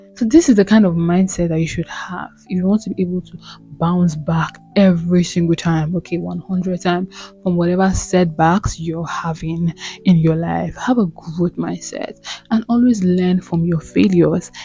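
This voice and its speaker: Music plays behind the speaker. She is a woman with a fairly low pitch. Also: moderate pace. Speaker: self-help vlogger. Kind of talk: motivational talk. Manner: animated.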